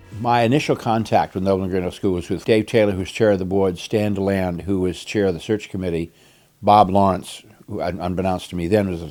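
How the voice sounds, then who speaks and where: A man with an American accent speaks at a very fast pace in a very deep, low pitch. His tone is dark and mellow, and his intonation is fairly even. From Greater Boston, Massachusetts. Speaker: retired headmaster and minister. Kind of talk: interview reminiscence.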